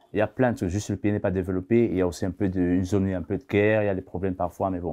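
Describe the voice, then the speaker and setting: A man's fairly low, dark, mellow voice at a very fast pace, against a quiet background. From Cameroon, Yaoundé. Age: 30s. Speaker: asylum seeker. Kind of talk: testimony.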